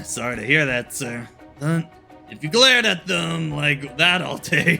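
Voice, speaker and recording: A man puts on a raspy, fairly high-pitched character voice with lively intonation at a moderate pace. His loudness swings widely over clear music in the background. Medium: game stream. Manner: coy, teasing.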